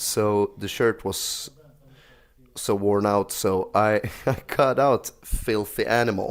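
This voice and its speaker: At a very slow pace, a man speaks in a flat monotone with fairly low pitch. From Sweden. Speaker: YouTuber. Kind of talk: tutorial. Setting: living room at home. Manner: casual; soft-spoken.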